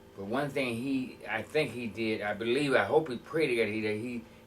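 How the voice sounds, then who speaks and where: An American accent marks this man's speech, pitched fairly low. Audible room echo surrounds his voice. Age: 60s. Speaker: former prisoner sharing life story. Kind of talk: interview testimony. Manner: halting.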